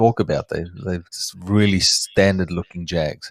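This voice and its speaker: A man with a South African accent speaks at a fairly low pitch, the sound dry and close with no echo on a very clean recording with a silent background. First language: Afrikaans. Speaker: reptile breeder, live stream host. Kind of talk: live stream chat. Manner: halting, searching for words.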